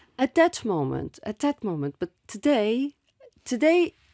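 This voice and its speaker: In a French accent, a woman speaks with a dark, mellow tone on a very clean recording with a silent background and a dry, close sound with no echo. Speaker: author and former actress. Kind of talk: interview testimony. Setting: studio. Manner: halting.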